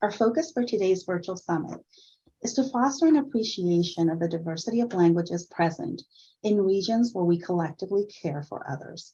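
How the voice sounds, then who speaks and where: A woman with a Spanish accent talks at a fairly quick pace and a medium pitch, her intonation lively and her tone dark, mellow and somewhat breathy. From Puerto Rico. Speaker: nursing director. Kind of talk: event welcome speech. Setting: virtual summit.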